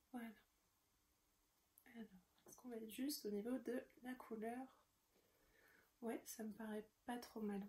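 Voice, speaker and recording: A woman speaks at a fairly slow pace with a fairly high pitch and a dark, mellow tone. Her intonation is monotone and flat, with long, frequent pauses and big swings in loudness. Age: 20s. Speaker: knitting podcaster. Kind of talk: casual show-and-tell tutorial. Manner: hesitant, many fillers.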